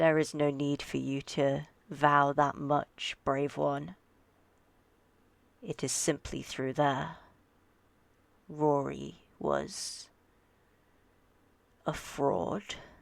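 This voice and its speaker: A low-to-middle put-on character voice at a very slow pace, broken by long, frequent pauses. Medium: actual play. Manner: soft, imploring.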